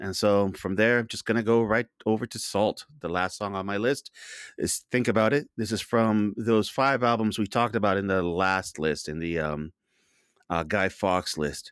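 A man with a normal speaking voice and an American accent, fairly low in pitch, with ordinary pitch variation, at a moderate pace, in a very clean recording with a silent background and a dry, close sound with no echo. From outside the US. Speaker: amateur DJ panelist. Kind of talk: casual chat.

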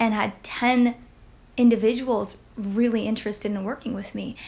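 A woman with a plain, everyday voice speaks at a fairly slow pace and a fairly high pitch, with fairly even intonation. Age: 30s. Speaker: singer and life coach. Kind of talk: casual interview.

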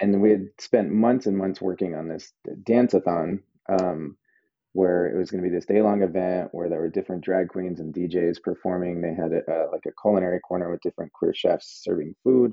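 In an American accent, a man speaks at a fairly quick pace. His pitch is very deep and low, and his intonation fairly even. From New Mexico, US (Albuquerque). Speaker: chef and restaurant owner. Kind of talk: casual interview.

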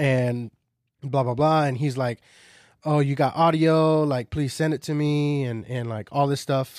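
A man's plain, everyday voice, fairly high-pitched with ordinary variation, at a moderate pace in a very clean recording with a silent background. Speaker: podcast co-host. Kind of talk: casual chat.

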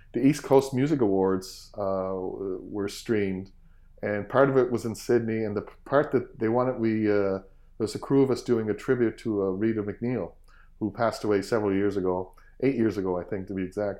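A man speaks with a Cape Breton accent at a fairly quick pace. His pitch is fairly low, with ordinary pitch variation. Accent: Cape Breton Canadian. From Cape Breton, Nova Scotia, Canada. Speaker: fiddler and music teacher. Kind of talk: interview. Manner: hesitant, many fillers.

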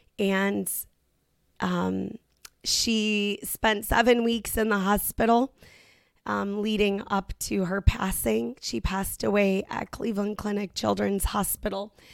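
A woman speaks at medium pitch with fairly even intonation and a very slow pace. The recording is very clean, with a silent background. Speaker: podcast host. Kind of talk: testimony. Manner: emotional.

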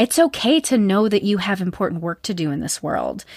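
A woman talks in a plain, everyday voice at a moderate pace. Her intonation is lively, and the sound is dry and close with no echo. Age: 40s. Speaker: therapist and podcast host. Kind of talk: casual interview.

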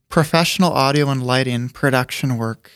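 A man with an American accent talks at a moderate pace. He has an ordinary speaking voice, fairly high in pitch. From US Midwest, South Dakota. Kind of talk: interview. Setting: studio.

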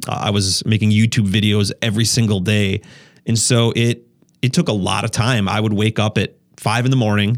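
Speaking with an Upper Midwest US accent, a man uses a fairly low pitch. His loudness stays very even and his intonation fairly even. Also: moderate pace, very clean recording, silent background. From Wisconsin. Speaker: YouTuber and photographer. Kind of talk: casual chat. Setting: studio.

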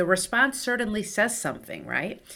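The tone is bright and sharp. She is a woman with a Spanish accent. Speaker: clinical psychologist, nonprofit director. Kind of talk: interview.

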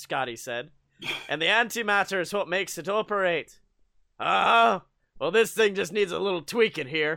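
Reading aloud in a natural voice against quiet surroundings

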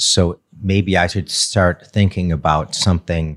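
This man has an American accent and vocal fry. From US Midwest, Detroit area. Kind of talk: casual interview.

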